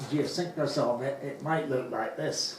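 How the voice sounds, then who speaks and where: Noticeable background noise and audible room echo accompany a man's fairly high voice. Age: 80s+. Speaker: space enthusiast speaker. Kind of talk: slide presentation talk.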